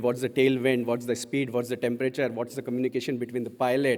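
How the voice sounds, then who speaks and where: A man is speaking. He has an Indian accent. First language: Hindi. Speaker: conference speaker. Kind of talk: conference talk.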